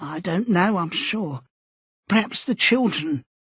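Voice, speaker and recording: Done in a put-on character voice, the raspy speech moves at a fairly slow pace with lively intonation. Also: man, high pitch for a man. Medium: read story. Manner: vague, breaks off sentences mid-way.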